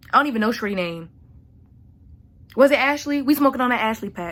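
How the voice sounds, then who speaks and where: The speaker is a woman talking at a fairly quick pace. Her pitch varies in an ordinary way. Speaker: vlogger. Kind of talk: rant. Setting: at home at night. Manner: loud; animated.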